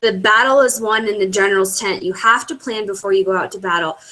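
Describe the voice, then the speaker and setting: A woman talks at a fairly quick pace, her pitch moving in an ordinary way. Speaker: network marketing team leader. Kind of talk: webinar training. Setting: online video broadcast. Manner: fast.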